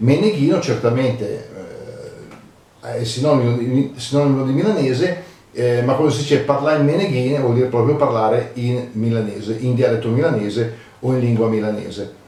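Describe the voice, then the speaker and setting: A man speaks at a medium pitch with ordinary pitch variation and a fairly quick pace. Audible room echo and noticeable background noise fill the recording. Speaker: dialect and proverbs commentator. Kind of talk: casual educational talk. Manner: hesitant, many fillers.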